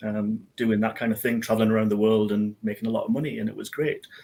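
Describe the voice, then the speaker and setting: With a Geordie accent, a man speaks at a medium pitch in a monotone, flat delivery. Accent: Geordie, noticeable. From northern England, Newcastle area. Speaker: IT business owner. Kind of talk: interview on a live business show. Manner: hesitant, many fillers.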